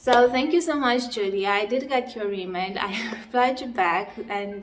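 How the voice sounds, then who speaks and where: Through noticeable background noise, a woman with a non-native accent speaks at a fairly slow pace with ordinary pitch variation. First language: not English. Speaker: crochet designer, channel host. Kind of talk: casual vlog chat. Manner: hesitant, many fillers.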